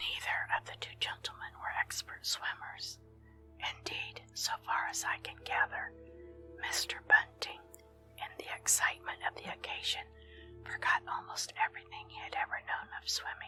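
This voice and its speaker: Over music in the background, a woman whispers at a moderate pace with big swings in loudness. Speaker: ASMR story reader. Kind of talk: whispered story reading for relaxation. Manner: whispered, soft.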